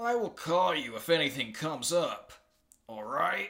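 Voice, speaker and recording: A man uses a raspy, high-pitched put-on character voice at a moderate pace. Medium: read story. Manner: brisk, fatherly.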